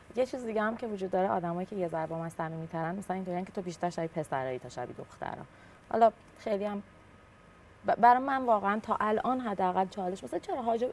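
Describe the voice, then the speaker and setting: Her delivery is very fast, with lively intonation, from a woman at a medium pitch. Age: 30s. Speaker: startup founder and CEO. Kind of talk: casual chat.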